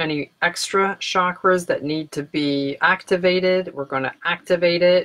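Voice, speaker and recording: A woman speaks in a fairly low voice with fairly even intonation and hardly any pauses. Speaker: meditation guide. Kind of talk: guided meditation. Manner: slow, calm and soothing, with gentle pauses. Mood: calm, soothing. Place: home room. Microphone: webcam.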